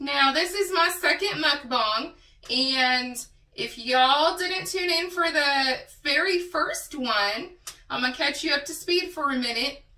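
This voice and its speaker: A woman with a high pitch and bright, sharp tone uses a raised, projected voice, speaking at a fairly slow pace with lively intonation. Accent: Texas. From Texas. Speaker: mukbang creator. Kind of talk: casual talk to camera while eating.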